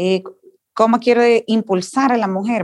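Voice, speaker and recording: Her pitch shifts in an ordinary way. The woman keeps a moderate pace. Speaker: political candidate, educator. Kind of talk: candidate panel interview.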